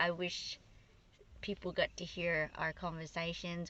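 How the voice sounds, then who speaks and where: A bright, sharp tone with an Australian accent, set against a quiet background. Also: woman. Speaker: vlogger and singer. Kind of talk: casual chat. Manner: loud; animated.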